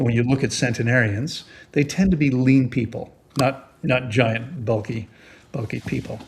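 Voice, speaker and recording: A man speaks at a moderate pace with a medium pitch. His voice is somewhat breathy, with ordinary pitch variation. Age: 60s. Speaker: fasting expert. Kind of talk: interview. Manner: halting.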